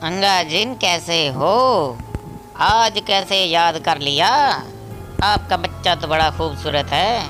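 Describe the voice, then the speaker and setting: A man's high-pitched cartoonish character voice at a very slow pace, with clear music in the background. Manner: loud, exclaiming.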